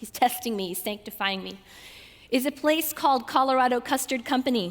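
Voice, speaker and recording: A woman talks at a fairly quick pace in an American accent. Her high pitch varies in an ordinary way. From US South, Georgia. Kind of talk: talk to a student audience. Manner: animated.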